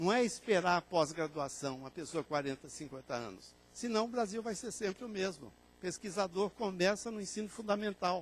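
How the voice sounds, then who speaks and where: At a moderate pace, a man talks with a high pitch. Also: lively intonation, hardly any pauses. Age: 60s. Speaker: librarian and information science lecturer. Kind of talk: conference lecture.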